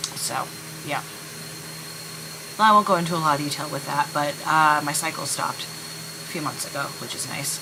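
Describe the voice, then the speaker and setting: A woman speaks at a fairly quick pace with fairly even intonation. Noticeable background noise and audible room echo surround her. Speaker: vlogger. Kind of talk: casual vlog monologue. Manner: hesitant, many fillers.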